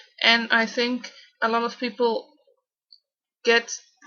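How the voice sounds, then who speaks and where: A woman speaks with a Dutch accent. Her voice is high in pitch. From Netherlands. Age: 20s. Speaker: vlogger with Tourette syndrome. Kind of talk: personal vlog. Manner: halting, with repetitions and fillers.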